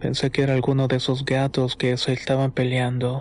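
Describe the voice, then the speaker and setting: Monotone, flat intonation marks this man's speech. His pitch is medium and his pace moderate. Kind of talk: first-person horror story narration, told as a personal memoir.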